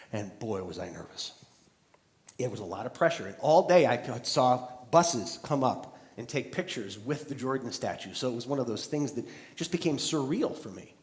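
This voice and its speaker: This is a plain, everyday voice at a moderate pace. Its loudness swings widely. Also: man, medium pitch for a man, lively intonation. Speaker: keynote speaker. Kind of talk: live keynote speech to an audience.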